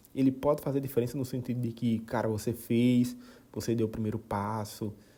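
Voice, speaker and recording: Speaking in a northeastern Brazilian accent, a man keeps a fairly even intonation at medium pitch with a dark, mellow tone. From Brazilian Northeast. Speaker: podcaster. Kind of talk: casual monologue. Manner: halting, many repetitions.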